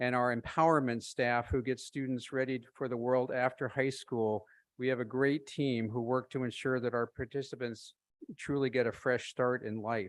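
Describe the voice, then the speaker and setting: The background is quiet as a man speaks at a moderate pace. His medium pitch carries monotone, flat intonation. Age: 70s. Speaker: nonprofit board member and volunteer. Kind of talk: public comment. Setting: school board meeting.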